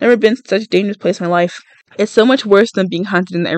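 Natural-sounding read voice, pitch varying in an ordinary way

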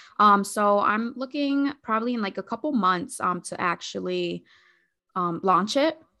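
A woman's plain, everyday voice, medium in pitch, at a fairly slow pace. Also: lively intonation, quiet background. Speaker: social worker and pageant contestant. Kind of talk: interview. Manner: many fillers and repetitions.

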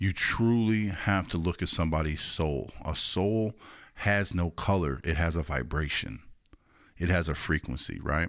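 A man's very deep, low voice with an American accent, fairly slow in pace with ordinary pitch variation, on a very clean recording with a silent background. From Chicago, Illinois. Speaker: podcast host. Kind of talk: interview.

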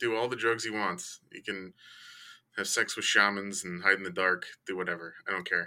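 A man with an American accent speaks in a fairly low, bright, sharp voice, monotone and flat yet with big swings in loudness, on a very clean recording with a silent background. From Chicago. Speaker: guest friend, side bet. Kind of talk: casual chat. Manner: joking, casual.

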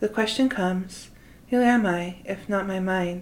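A woman with an American accent has a plain, everyday voice. Her pitch sits in the medium range and her intonation stays fairly even. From Utah, US. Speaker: podcast host, spiritual guide. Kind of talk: scripted monologue.

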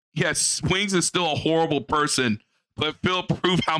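Fairly high for a man, his bright, sharp voice carries vocal fry at a moderate pace, recorded dry and close with no echo. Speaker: co-host. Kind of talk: casual reaction commentary.

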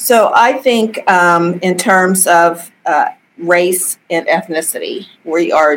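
A woman with an American accent speaks at a fairly low pitch, her pitch varying in an ordinary way. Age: 60s. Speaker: judge. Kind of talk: interview.

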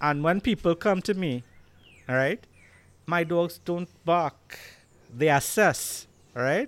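A man with a Trinidadian accent speaks at a very slow pace in a high voice, with ordinary pitch variation and long, frequent pauses, on a very clean recording with a silent background. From Trinidad and Tobago. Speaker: Rottweiler breeder. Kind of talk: casual interview chat. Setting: video podcast recorded at his home.

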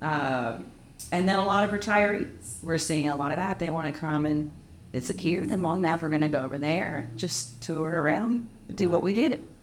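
Her pitch is very deep and low for a woman, with lively intonation at a moderate pace. Audible room echo surrounds the voice. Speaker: property manager and anti-trafficking advocate. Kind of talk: casual chat. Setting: hotel cigar lounge.

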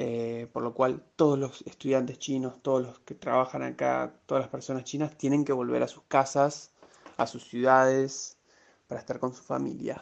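At a moderate pace, a man with a medium pitch speaks in a monotone, flat delivery marked by big swings in loudness. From Argentina, Rosario. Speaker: graduate student abroad. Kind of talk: interview.

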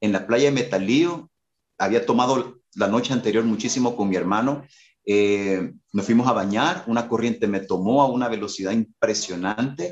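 A man of medium pitch at a moderate pace. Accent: Salvadoran. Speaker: worship leader and musician. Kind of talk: casual interview chat.

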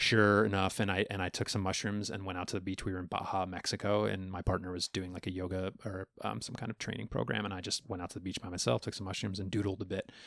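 With an American accent, a man speaks at a very fast pace with hardly any pauses, his very deep, low pitch carrying vocal fry and fairly even intonation. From Long Island, New York. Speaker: content creator. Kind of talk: casual interview chat.

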